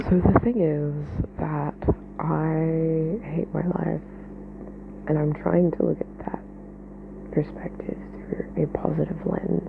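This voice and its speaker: Soft-spoken, a woman talks at a very slow pace with long, frequent pauses over noticeable background noise. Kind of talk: casual venting monologue.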